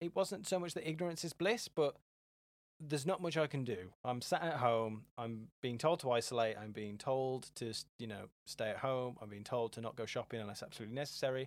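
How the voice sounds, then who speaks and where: Ordinary pitch variation from a man with an English accent. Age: 20s. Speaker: business founder. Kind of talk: casual chat.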